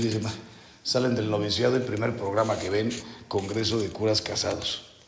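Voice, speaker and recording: Noticeable background noise and audible room echo fill the recording. A man speaks in a monotone, flat way. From Mexico. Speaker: priest. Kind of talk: spiritual retreat talk. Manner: slow.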